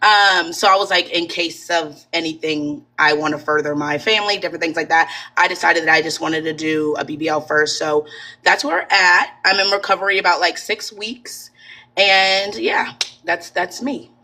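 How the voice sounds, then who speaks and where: At a moderate pace, a woman talks in an unremarkable speaking voice, fairly low in pitch with ordinary pitch variation. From Maryland. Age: 20s. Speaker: cosmetic surgery patient. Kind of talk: testimony.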